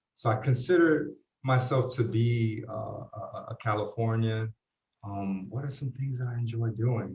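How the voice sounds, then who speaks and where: A man's somewhat breathy voice sits at medium pitch with fairly even intonation. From New York City, Puerto Rican family. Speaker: university residence dean and associate chaplain. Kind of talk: interview. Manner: halting, many fillers.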